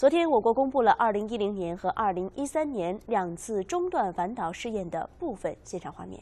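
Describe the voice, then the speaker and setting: A woman with a dark, mellow tone and a fairly high pitch speaks at a moderate pace, barely pausing, her pitch swinging very widely and her loudness rising and falling a lot. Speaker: news anchor. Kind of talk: news reading. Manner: formal. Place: studio. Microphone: lapel.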